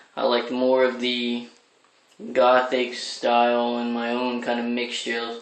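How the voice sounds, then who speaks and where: In a room with audible echo and noticeable background noise, a man speaks in a medium pitch with monotone, flat intonation. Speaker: crossdressing vlogger. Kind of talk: casual vlog monologue. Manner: deliberately feminized voice, not natural speaking voice.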